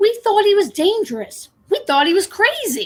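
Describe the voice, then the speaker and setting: Extremely high pitch and a moderate pace in a put-on character voice. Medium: stage play.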